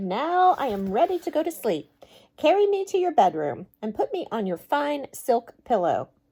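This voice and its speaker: This put-on character voice moves at a moderate pace and has very wide pitch swings. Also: woman, high pitch for a woman. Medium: read story.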